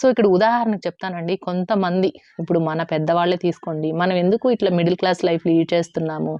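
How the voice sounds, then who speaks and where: A woman speaks in a normal speaking voice with a fairly low pitch. Her intonation stays fairly even. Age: 40s. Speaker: YouTuber on savings and household finance. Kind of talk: casual advice monologue to viewers.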